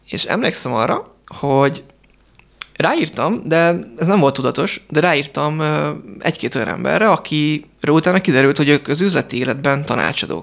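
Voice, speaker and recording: Vocal fry at a moderate pace, with ordinary pitch variation. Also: man. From Hungary. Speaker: entrepreneur. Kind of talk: radio interview. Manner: halting.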